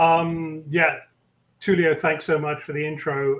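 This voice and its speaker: This man has a British accent and a somewhat breathy voice at a fairly high pitch. He speaks at a moderate pace. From London, England. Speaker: tech executive. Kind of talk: interview conversation.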